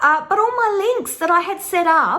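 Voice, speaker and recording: With an Australian accent, a woman talks in an animated tone at a moderate pace. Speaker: tarot teacher and online course creator. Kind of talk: casual vlog monologue.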